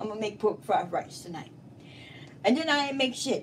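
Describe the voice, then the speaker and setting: Noticeable background noise sits behind the recording. A woman speaks at a high pitch. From Louisiana. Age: 20s. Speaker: live streamer. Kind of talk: casual live stream rant. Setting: in her kitchen. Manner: animated.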